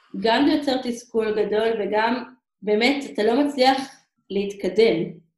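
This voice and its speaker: A woman speaks very slowly in a fairly high voice. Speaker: emissary teacher abroad. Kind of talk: interview. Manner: halting.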